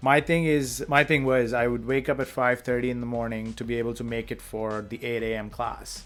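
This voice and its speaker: Speaking with an Indian accent, a man moves at a fairly quick pace with hardly any pauses. His intonation is fairly even. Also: medium pitch for a man. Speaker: podcast co-host. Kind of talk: casual chat.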